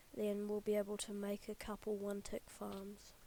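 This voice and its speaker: Quiet and fairly slow, a woman speaks with a dark, mellow tone. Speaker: gaming YouTuber. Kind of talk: let's play commentary.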